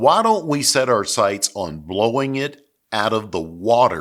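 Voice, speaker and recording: A man with a Southern US accent speaks with very wide pitch swings. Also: very clean recording, silent background. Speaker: sales coach and business consultant. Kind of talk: motivational business talk to camera.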